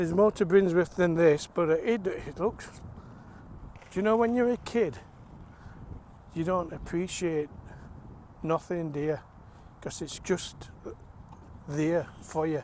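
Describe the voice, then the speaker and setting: A man with a South Yorkshire accent speaks fairly slowly at a high pitch, with ordinary pitch variation. He leaves long, frequent pauses. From South Yorkshire (Rotherham area). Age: 60s. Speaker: vlogger. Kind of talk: walking vlog. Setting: outdoors. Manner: casual, halting.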